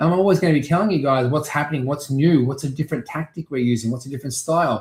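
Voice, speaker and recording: In an Australian accent, a man talks at a very fast pace in a fairly high, somewhat breathy voice with ordinary pitch variation. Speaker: real estate auctioneer. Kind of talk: interview. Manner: animated.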